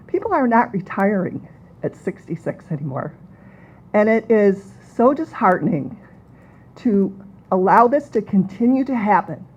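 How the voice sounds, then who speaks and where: A woman with an American accent speaks at medium pitch and a moderate pace with very wide pitch swings. Her voice is somewhat breathy, and she takes long, frequent pauses. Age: 60s. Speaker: kindergarten teacher. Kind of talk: public comment. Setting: public meeting.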